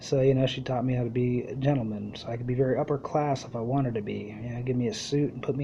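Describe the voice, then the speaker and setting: A somewhat breathy man talks very fast in a monotone, flat intonation. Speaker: podcast host. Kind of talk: casual monologue. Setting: live internet radio show. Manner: rambling run-on sentences.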